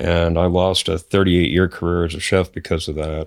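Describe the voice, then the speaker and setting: At a moderate pace, a man with an American accent and a very deep, low voice speaks in a very clean recording with a silent background. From US Pacific Northwest, north central Washington. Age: 60s. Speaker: podcast guest. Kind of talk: casual interview. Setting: in person, Great Falls, Montana.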